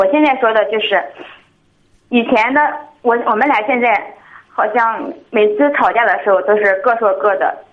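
At a moderate pace, a woman with a fairly high pitch speaks with lively intonation and very even loudness, in a space with audible room echo. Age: 20s. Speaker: caller seeking marriage advice. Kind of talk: call-in advice conversation. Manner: halting.

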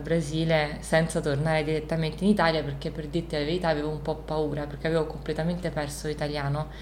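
A woman's voice with audible room echo. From born in Isola del Liri, Italy; raised in Rio de Janeiro, Brazil from age 10 to 20. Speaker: visual artist. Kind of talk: interview in her studio. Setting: artist's studio. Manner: halting, many repetitions and fillers.

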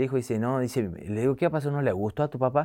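A man at medium pitch with a Tucumán accent, showing ordinary pitch variation, in a very clean recording with a silent background. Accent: Tucumán Argentine Spanish. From Tucumán, Argentina. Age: 40s. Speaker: comedian. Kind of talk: casual interview. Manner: animated.

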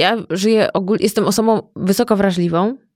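A woman of medium pitch with fairly even intonation and a fairly quick pace. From Masuria, Poland. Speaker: entrepreneur and stylist. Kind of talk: casual interview conversation.

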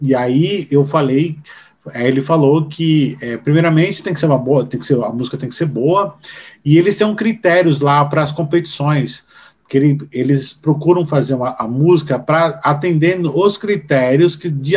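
A man speaks at a fairly quick pace in a somewhat breathy voice. His pitch is fairly high, with ordinary variation. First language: Portuguese. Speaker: music educator and podcast host. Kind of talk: interview with live translation. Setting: video call. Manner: halting English.

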